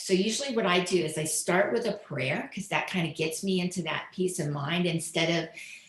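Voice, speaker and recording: A woman's fairly low voice at a fairly quick pace, with ordinary pitch variation, hardly any pauses and noticeable background noise. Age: 60s. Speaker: author and lifestyle expert. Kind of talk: interview.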